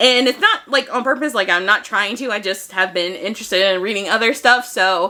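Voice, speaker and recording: This woman talks at a fairly quick pace in a medium pitch, with a bright, sharp tone and ordinary pitch variation. The recording is very clean, with a silent background. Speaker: book vlogger. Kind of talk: casual chat. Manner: fast.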